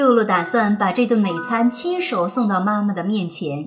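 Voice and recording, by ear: A natural voice reading aloud, the pitch varying in an ordinary way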